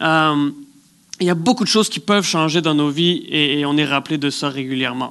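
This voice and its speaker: Bright and sharp in tone, a man with fairly high pitch speaks at a fairly quick pace with ordinary pitch variation. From place without snow, outside Quebec. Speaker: guest preacher. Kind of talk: sermon. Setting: theatre with congregation. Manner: halting, many repetitions.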